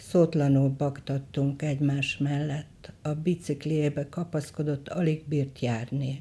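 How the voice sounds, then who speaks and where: A woman speaks very slowly in a very deep, low pitch with a dark, mellow tone and some breathiness. Her delivery is monotone and flat, with hardly any pauses. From western Hungary, Sárvár. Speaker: photographer. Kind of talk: reading aloud of memoir.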